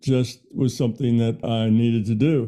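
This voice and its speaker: A man speaks in a dark, mellow tone. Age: 70s. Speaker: physicist. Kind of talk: interview. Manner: casual, conversational.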